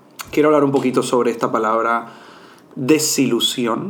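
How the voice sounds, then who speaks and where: There is audible room echo as a man speaks. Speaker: podcast host and mindfulness coach. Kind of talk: solo podcast monologue.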